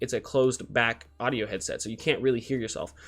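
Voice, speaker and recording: A man's very fast speech against a quiet background. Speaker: gaming streamer reviewing headsets. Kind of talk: tutorial. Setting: home streaming desk with stand mic. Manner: casual, swears often. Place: home room. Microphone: studio mic.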